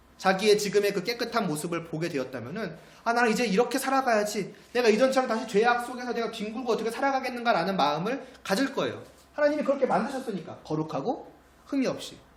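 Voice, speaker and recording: A man speaks at a very fast pace with an extremely high pitch and lively intonation. Noticeable background noise and audible room echo surround him. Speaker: pastor. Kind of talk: sermon.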